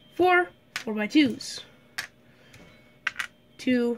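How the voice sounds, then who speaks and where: Noticeable background noise surrounds this woman, whose voice is high-pitched. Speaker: LEGO builder. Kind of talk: casual building tutorial narration.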